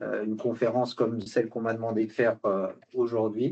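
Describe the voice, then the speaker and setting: A dark, mellow tone at a moderate pace. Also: man. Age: 60s. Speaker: retired executive and immigration activist. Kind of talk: lecture. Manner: hesitant, many filler words.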